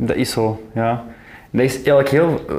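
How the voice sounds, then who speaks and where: A man talks at medium pitch with ordinary pitch variation. Audible room echo surrounds his voice. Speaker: podcast host. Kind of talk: casual interview conversation. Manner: fast, swallows words.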